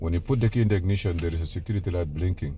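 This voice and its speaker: There is light background noise and a dry sound with no echo as a man speaks with ordinary pitch variation. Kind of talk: tutorial. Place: car. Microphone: phone near.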